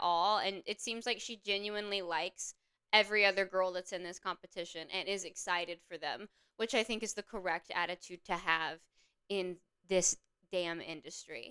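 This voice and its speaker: In a Southern accent, a woman talks at a moderate pace with a medium pitch and a bright, sharp tone. She sounds animated, and the sound is dry and close with no echo. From US South, upstate South Carolina (Anderson area). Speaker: YouTuber reviewing a TV show. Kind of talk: casual commentary.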